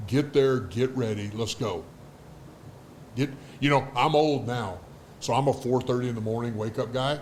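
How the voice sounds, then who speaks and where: A somewhat breathy man's voice at medium pitch, moderate pace, long and frequent pauses. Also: ordinary pitch variation. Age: 60s. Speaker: former pro football player, business executive. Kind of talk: casual interview chat.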